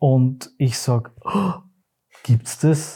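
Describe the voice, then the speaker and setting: On a very clean recording with a silent background, a man's somewhat breathy, dark and mellow voice keeps fairly even intonation. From Austria, Graz (Styria). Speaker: theatre company managing director. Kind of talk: interview.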